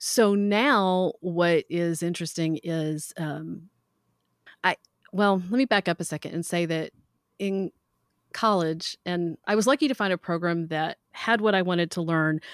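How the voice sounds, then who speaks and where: A woman with a slight Southern US accent, fairly low pitch and fairly slow pace, in a dry, close sound with no echo. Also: ordinary pitch variation, very clean recording, silent background. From US South. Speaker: metalsmith and teacher. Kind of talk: casual interview.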